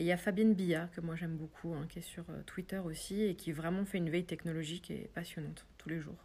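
A woman talks at a very fast pace, her fairly low voice dark, mellow and somewhat breathy. Her intonation stays monotone and flat. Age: 40s. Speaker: web development trainer. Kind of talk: interview. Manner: hesitant, many fillers.

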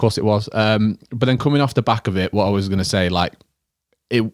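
A man speaks at a medium pitch with a Yorkshire accent. The sound is dry and close, with no echo. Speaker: podcast co-host. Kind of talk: casual chat, personal talk about grief.

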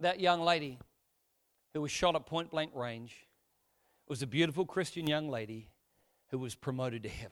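With an Australian accent, a man speaks at a fairly high pitch and a moderate pace, with ordinary pitch variation. He leaves long pauses often. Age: 40s. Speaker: pastor. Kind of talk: sermon. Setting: church.

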